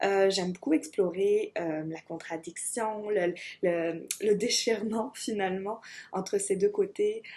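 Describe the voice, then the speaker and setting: Over a quiet background, a woman speaks at a very slow pace in a dark, mellow tone. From France. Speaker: artist, graphic designer. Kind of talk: video application pitch.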